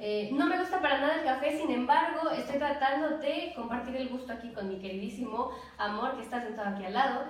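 The speech moves at a fairly quick pace with hardly any pauses and ordinary pitch variation, amid audible room echo and noticeable background noise. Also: woman, high pitch for a woman. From Mexico, Xalapa, Veracruz. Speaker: student teacher and podcast co-host. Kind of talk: casual chat.

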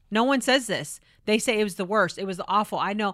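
Speaking fairly quickly with an American accent, a woman uses a medium pitch, ordinary pitch variation and a bright, sharp tone, recorded very cleanly against a silent background. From California. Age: 40s. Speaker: police spokesperson and pro-life speaker. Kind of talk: interview conversation.

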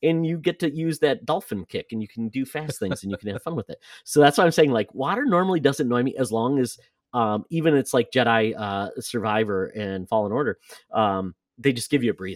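A man with an American accent and a plain, everyday voice, medium pitch and a fairly quick pace, in a very clean, dry, close recording with a silent background and no echo. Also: lively intonation. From Michigan. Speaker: video game podcast host. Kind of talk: casual chat.

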